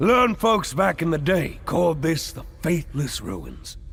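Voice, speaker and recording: A man delivers his lines in a put-on character voice, fairly slowly, with clear noise in the background. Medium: video game. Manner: boisterous, wheedling, laughing often.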